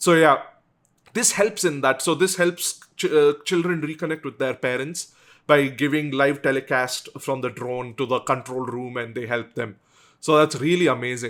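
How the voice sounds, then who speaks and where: A man with a South Indian accent, fairly high in pitch, at a moderate pace. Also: ordinary pitch variation. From South India, Bangalore. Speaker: YouTuber. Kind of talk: casual vlog commentary. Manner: conversational with frequent fillers and restarts.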